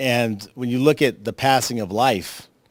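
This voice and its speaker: Here is a man with a normal speaking voice at a medium pitch. He keeps a moderate pace and fairly even intonation. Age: 50s. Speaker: documentary filmmaker. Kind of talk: tribute speech.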